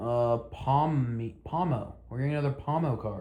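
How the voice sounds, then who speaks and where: This man has a dark, mellow tone that is somewhat breathy. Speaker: Pokemon card content creator. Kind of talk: casual commentary reacting to card leaks. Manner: fast.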